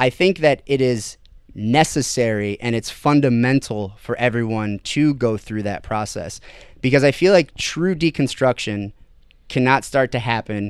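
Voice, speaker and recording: On a very clean recording with a silent background, a man talks at a moderate pace with medium pitch and ordinary pitch variation. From US Midwest, Ohio (Toledo area). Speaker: podcast guest discussing spirituality. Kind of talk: casual conversation. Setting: studio table with drinks.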